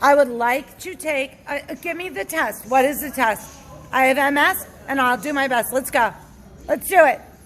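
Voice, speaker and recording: Noticeable background noise behind a high female voice, moderate in tempo, its pitch varying in an ordinary way. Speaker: member of the public filming a police encounter. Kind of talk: heated argument with police. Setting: outdoors outside a bar. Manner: agitated, confrontational.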